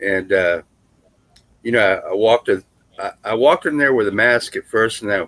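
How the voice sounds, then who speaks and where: A man's ordinary speaking voice, medium-pitched, with lively intonation at a fairly quick pace, dry and close with no echo. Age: 60s. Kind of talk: casual chat.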